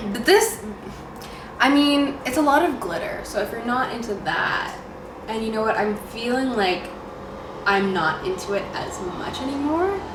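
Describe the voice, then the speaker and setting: A moderate pace in a Canadian accent, with very wide pitch swings, long, frequent pauses, audible room echo and noticeable background noise. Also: woman, high pitch for a woman. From Canada, Ontario. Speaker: beauty vlogger. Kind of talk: casual makeup tutorial chat.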